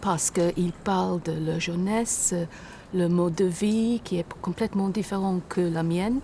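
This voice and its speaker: A woman with an English accent at medium pitch, speaking very slowly against noticeable background noise. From Britain. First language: English (speaking French). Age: old. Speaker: retiree seeking citizenship. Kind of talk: interview. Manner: halting.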